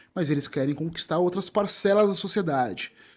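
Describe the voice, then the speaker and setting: A man with a southern Brazilian accent, lively intonation and a fairly quick pace. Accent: gaúcho. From southern Brazil (Rio Grande do Sul). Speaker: writer, content creator and presenter. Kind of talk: interview conversation. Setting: live festival, band audible in background.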